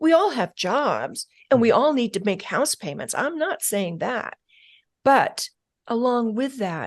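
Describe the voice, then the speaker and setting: Recorded dry and close with no echo over a quiet background, the voice moves at a fairly slow pace with very wide pitch swings. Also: woman, high pitch for a woman. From rural upbringing on a ranch. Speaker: mental toughness expert, former FBI agent. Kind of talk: interview answer. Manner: soft-spoken.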